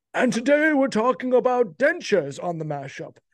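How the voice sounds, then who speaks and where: A man's put-on character voice in a transatlantic accent, extremely high-pitched, with very wide pitch swings at a moderate pace. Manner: grumpy, declamatory.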